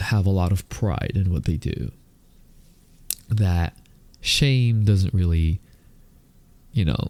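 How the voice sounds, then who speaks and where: A man's dark, mellow tone at a fairly low pitch. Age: 30s. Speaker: podcast host. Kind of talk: casual monologue. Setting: recording on camera at home. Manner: slow.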